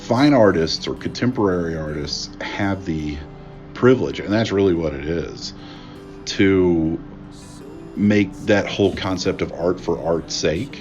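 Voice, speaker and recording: With an American accent, a speaker talks at a fairly slow pace and with lively intonation while music plays in the background. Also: man, very deep, low pitch for a man. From Appalachia, West Virginia. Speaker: artist and politics professor. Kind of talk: interview answer. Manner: casual, hesitant.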